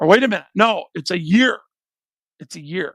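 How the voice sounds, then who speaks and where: An American-accented man talks at a moderate pace with lively intonation. The sound is dry and close with no echo, on a very clean recording with a silent background. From Detroit, Michigan. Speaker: YouTube reaction commentator. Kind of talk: live stream reaction commentary. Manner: casual, halting with repetitions.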